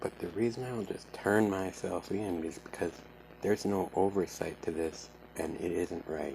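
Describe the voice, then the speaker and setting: Against noticeable background noise, a man with a very deep, low pitch speaks at a moderate pace with ordinary pitch variation. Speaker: vlogger telling a personal grievance. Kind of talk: personal account to camera. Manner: halting, repeating words.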